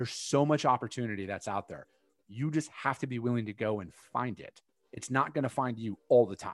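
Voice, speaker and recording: Big swings in loudness mark a man's unremarkable speaking voice, which sits at a medium pitch and moves at a fairly quick pace with ordinary pitch variation. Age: 30s. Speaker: freight sales coach. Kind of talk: casual chat.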